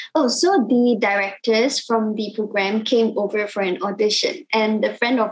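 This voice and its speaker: A woman with a Cantonese accent speaks at a moderate pace. Her pitch sits fairly high with ordinary variation, over a quiet background. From Malaysia. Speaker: singer-songwriter. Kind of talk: casual interview. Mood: cheerful, animated. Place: home room.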